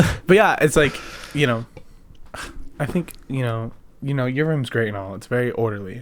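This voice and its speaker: Pausing long and often, a man with a medium pitch talks at a moderate pace with ordinary pitch variation. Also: big swings in loudness. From Canada. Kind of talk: casual conversational.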